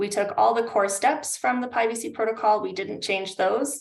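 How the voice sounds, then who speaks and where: A woman with a Canadian accent, talking at a fairly quick pace. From Canada. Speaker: climate adaptation consultant. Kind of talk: webinar presentation. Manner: hesitant, many fillers.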